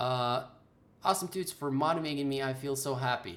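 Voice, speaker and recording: Speaking at a moderate pace, a man talks with a non-native accent. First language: not English. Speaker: game development tutor. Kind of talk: live stream Q&A. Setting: live stream. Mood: earnest, advising. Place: home room. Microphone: webcam.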